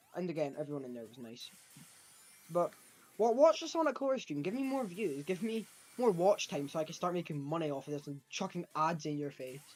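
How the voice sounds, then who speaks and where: With a Scottish accent, a man speaks at a fairly quick pace in a high pitch. His pitch swings very widely and his loudness rises and falls sharply. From Scotland. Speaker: gaming streamer. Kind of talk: live gameplay stream chat. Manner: casual, rambling with false starts.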